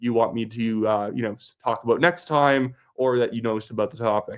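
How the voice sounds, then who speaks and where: In a normal speaking voice, a man with a Canadian accent talks at a fairly quick pace with ordinary pitch variation. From Alberta, Canada. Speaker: political commentator. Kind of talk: political commentary vlog. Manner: casual, conversational.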